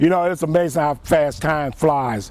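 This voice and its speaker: Noticeable background noise is present. A man speaks at a fairly slow pace in a fairly high pitch with ordinary pitch variation. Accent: Mississippi. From US South (Jackson, Mississippi). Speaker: retired Marine, war veteran. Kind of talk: interview.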